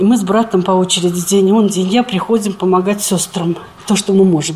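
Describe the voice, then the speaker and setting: Noticeable background noise sits behind a woman talking at a fairly quick pace in a medium pitch with ordinary pitch variation. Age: 70s. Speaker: retired nursing sister caring for her mother. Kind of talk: casual chat.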